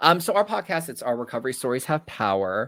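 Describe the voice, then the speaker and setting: A man's American accent and lively intonation in a very clean recording with a silent background. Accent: New Jersey-like on some words. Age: 20s. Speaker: podcast host in addiction recovery. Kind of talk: casual chat.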